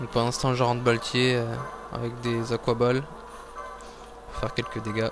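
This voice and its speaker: Medium-pitched male speech at a moderate pace, monotone and flat, with long, frequent pauses and music in the background. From France. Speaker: video game player. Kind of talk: gameplay commentary.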